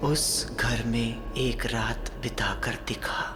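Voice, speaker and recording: A put-on character voice goes at a fairly slow pace over loud background noise. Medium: short film. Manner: calm, understated.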